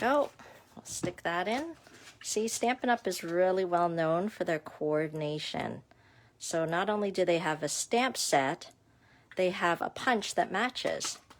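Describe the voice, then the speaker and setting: Mumbling at a fairly slow pace, a woman speaks with lively intonation. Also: medium pitch for a woman. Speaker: craft demonstrator. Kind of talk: live craft tutorial. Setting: livestream at home desk. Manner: chatty, mumbles to herself.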